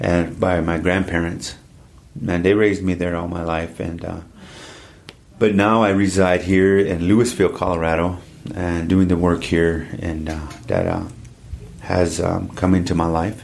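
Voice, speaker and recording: Over noticeable background noise and audible room echo, a man with a very deep, low pitch talks at a moderate pace in a monotone, flat intonation, leaving long, frequent pauses. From US Midwest (Standing Rock reservation, South Dakota). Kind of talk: interview.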